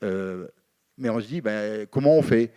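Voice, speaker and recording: A man talks at a moderate speed, and his pitch moves in an ordinary way. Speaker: union representative. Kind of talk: panel debate. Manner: halting, many fillers.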